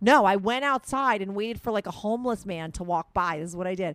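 Lively intonation marks this woman's speech. She talks at a fairly quick pace with vocal fry. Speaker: podcast host. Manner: fast talker.

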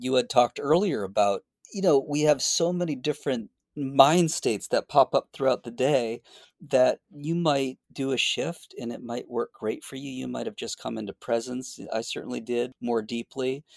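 A man with an American accent and an unremarkable speaking voice talks at a moderate pace in a medium pitch, with ordinary pitch variation, big swings in loudness and a dry, close sound with no echo. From Boston. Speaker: clinical psychologist. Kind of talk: interview conversation.

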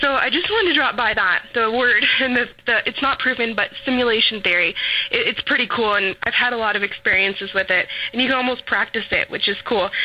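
Against noticeable background noise, a woman speaks at a fairly quick pace with a fairly high pitch, ordinary pitch variation and very even loudness. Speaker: caller. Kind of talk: casual opinion. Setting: phone call.

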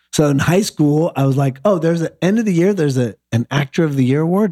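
A man with a Midwestern American accent, lively intonation and a fairly quick pace, in a dry, close sound with no echo on a very clean recording against a silent background. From Michigan, near Detroit. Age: 40s. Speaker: actor. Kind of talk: casual interview chat.

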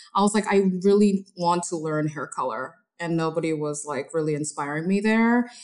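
A woman with a fairly low pitch speaks in a plain, everyday voice with ordinary pitch variation. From Korea, raised in Los Angeles from age eight. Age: 40s. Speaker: hair colorist. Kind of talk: interview conversation.

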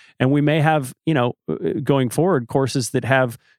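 Here is a man with a normal speaking voice at medium pitch. He moves at a moderate pace with ordinary pitch variation. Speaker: podcast host. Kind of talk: casual chat.

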